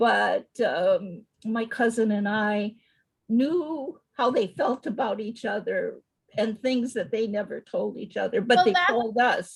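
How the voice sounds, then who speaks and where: The woman's voice is somewhat breathy. She talks at a very slow pace. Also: fairly high pitch for a woman, ordinary pitch variation. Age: 70s. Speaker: author. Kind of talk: interview answer.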